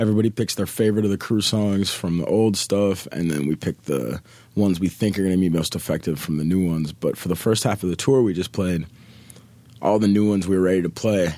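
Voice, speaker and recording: A man with an American accent speaks at a very fast pace in a very deep, low pitch, with ordinary pitch variation. His tone is dark and mellow, and the recording is very clean with a silent background. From Minneapolis, Minnesota. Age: 30s. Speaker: rapper touring musician. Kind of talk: casual interview chat.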